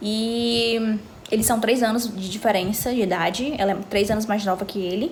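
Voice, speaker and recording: Over noticeable background noise and audible room echo, a woman speaks at medium pitch with fairly even intonation. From Brazil, Ceará (Fortaleza area). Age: 20s. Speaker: vlogger. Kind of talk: casual chat.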